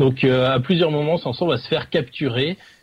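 A man speaks in a somewhat breathy voice. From Dunkirk, northern France. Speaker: film segment presenter. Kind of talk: casual chat.

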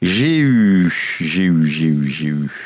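A man's pitch swings very widely while noticeable background noise carries on around him. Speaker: tech podcast co-host. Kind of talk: casual chat. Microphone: new equipment.

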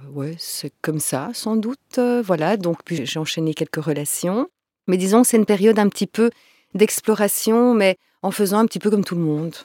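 A woman with an ordinary speaking voice, medium pitch and lively intonation at a moderate pace, in a dry, close sound with no echo on a very clean recording with a silent background. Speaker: tantra masseuse and workshop facilitator. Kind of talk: interview conversation.

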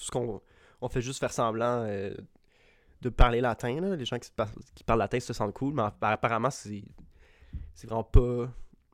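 On a very clean recording with a silent background, a man in a Quebec accent speaks at a medium pitch and moderate pace, with ordinary pitch variation and long, frequent pauses. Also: big swings in loudness. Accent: Québécois French. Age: 20s. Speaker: podcast co-host. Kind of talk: casual chat.

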